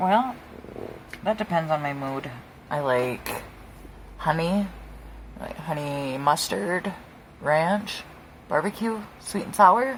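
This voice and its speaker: Over noticeable background noise, a woman with a fairly low pitch and an American accent speaks at a very slow pace, with very wide pitch swings and long, frequent pauses. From Wisconsin. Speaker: craft youtuber. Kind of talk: casual chat while crafting. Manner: quieter than usual. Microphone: close to microphone, quiet.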